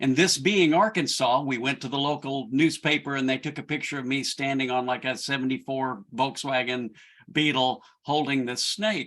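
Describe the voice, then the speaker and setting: With a Southern accent, a man talks at a moderate pace with hardly any pauses, his fairly high voice showing ordinary pitch variation on a very clean recording with a silent background. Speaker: church leadership director. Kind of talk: personal storytelling.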